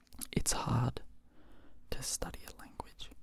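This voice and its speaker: Noticeable background noise is present. Through it, a man whispers. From Australia. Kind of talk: ASMR whisper ramble, casual talk to camera. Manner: quiet, slow, rambling, whispery.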